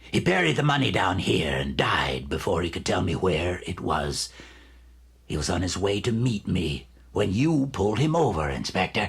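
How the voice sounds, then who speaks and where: Putting on a character voice, a man speaks at a moderate pace with a very deep, low pitch and very wide pitch swings. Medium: audio drama. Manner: smug, condescending.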